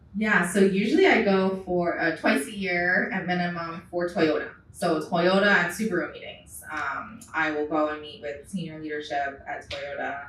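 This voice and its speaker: Over noticeable background noise and audible room echo, a woman speaks at a moderate pace and fairly low pitch with ordinary pitch variation. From Hawaii. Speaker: auto distribution executive. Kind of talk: panel discussion.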